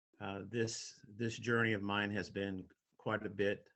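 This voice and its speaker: A man with a Midwestern American accent, fairly low in pitch and fairly slow in pace, in a monotone, flat intonation. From US Midwest, Toledo, Ohio. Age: 60s. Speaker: golf professional, company founder. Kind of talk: webinar presentation. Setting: video call. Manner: halting, with frequent repetitions.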